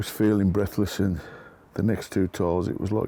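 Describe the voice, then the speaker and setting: Set against a silent background in a very clean recording, a man talks with a dark, mellow tone at a fairly low pitch. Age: 60s. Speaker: builder. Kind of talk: interview answer.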